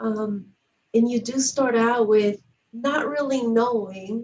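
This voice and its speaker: Her pace is very slow and her voice is somewhat breathy. The woman's pitch is fairly high, with ordinary pitch variation. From outside the US. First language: not English. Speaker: community organization host. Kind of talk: interview conversation.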